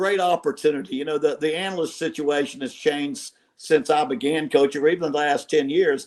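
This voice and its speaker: At a fairly quick pace, a man with an American accent and a fairly high pitch talks in a normal speaking voice. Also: ordinary pitch variation, hardly any pauses. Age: 60s. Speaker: college football head coach. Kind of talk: podcast interview.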